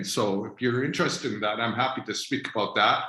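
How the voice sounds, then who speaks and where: This man has a medium-pitched voice with a bright, sharp tone. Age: 60s. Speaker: spiritual teacher. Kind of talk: informal spiritual talk on video call. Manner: hesitant, many fillers.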